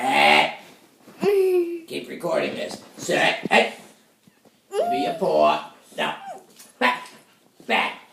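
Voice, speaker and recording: A man performs a cartoonish character voice at a very slow pace. Long, frequent pauses break up his speech, and there is a slight echo. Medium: puppet. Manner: angry, shouting.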